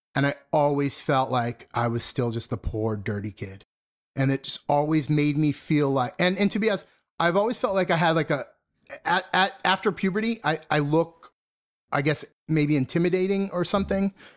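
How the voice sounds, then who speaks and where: A man with an ordinary speaking voice talks at a moderate pace and a fairly high pitch. His intonation is lively, and the recording is very clean with a silent background. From northern suburbs of Boston, Massachusetts. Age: 40s. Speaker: punk musician turned corporate design executive. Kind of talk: interview. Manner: frequent fillers and repetitions.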